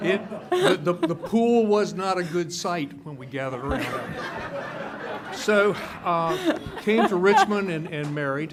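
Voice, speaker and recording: Fairly slow speech amid noticeable background noise and audible room echo. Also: man, high pitch for a man, ordinary pitch variation. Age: 60s. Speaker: public commenter at county meeting. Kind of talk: public comment speech. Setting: public meeting. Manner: halting, many fillers.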